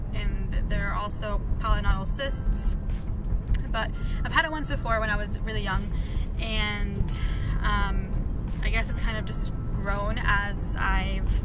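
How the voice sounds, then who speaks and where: Music plays in the background as a woman talks at a fairly slow pace. She leaves long, frequent pauses, and the sound is dry with no echo. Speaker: vlogger. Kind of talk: casual vlog chat. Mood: groggy after surgery. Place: car. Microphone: phone near.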